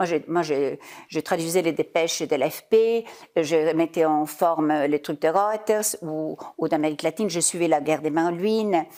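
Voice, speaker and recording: Fairly low, dark, mellow woman's voice at a fairly slow pace, with ordinary pitch variation. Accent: German. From Italy (Parma). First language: German (speaking French). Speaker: business leader, former journalist. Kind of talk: interview.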